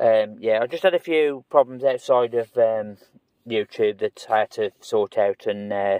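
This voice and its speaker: At a moderate pace, a man talks with fairly even intonation, the sound dry with no echo and the background quiet. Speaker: food reviewer. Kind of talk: casual vlog chat. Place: car. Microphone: phone near.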